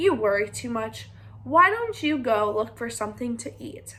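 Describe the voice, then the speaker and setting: A woman's put-on character voice at a moderate pace, over light background noise. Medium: read story.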